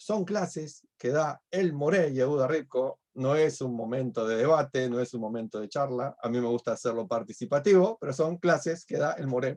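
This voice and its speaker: With lively intonation, a man speaks at a medium pitch in a Uruguayan accent. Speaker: rabbi teaching a class. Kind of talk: online lecture.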